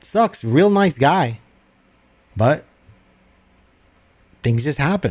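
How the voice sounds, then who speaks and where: A man speaks at a very slow pace, his voice somewhat breathy, with long, frequent pauses. His pitch makes very wide swings. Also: fairly high pitch for a man. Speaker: sports commentator podcaster. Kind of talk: solo sports commentary livestream. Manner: halting, stuttering.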